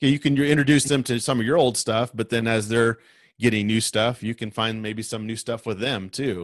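A man's ordinary speaking voice with an American accent, at a fairly quick pace over a quiet background. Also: medium pitch for a man, fairly even intonation. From US Midwest, rural west Nebraska. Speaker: podcaster, guest. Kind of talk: casual chat.

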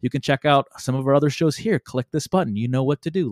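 Recorded with a dry, close sound and no echo, a man with an American accent speaks at a fairly high pitch. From US Midwest. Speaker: podcast host. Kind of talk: casual chat. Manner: animated.

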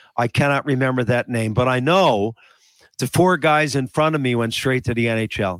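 A man's medium-pitched voice with a Newfoundland accent, moderate in pace, with ordinary pitch variation and a dry, close sound with no echo. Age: 70s. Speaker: retired hockey player, teacher. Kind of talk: casual chat.

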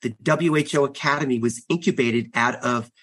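At a fairly slow pace, a man with an American accent and an ordinary speaking voice talks at a medium pitch against a quiet background. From US Northeast, Long Island, New York. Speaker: health organization executive. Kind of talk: interview.

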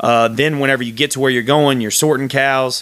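A man talks at a fairly quick pace with a Texan accent. His pitch sits in the medium range with fairly even intonation. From Texas. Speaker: podcast host, firefighter. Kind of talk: solo podcast monologue.

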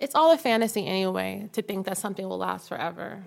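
Medium pitch from a woman's voice. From Harlem, New York. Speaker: visual artist. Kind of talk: casual chat.

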